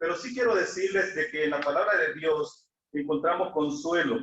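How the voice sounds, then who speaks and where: Speaking with a Salvadoran accent, a man uses a high pitch with ordinary pitch variation. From El Salvador. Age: 60s. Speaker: lay preacher. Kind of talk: sermon. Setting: church, livestreamed.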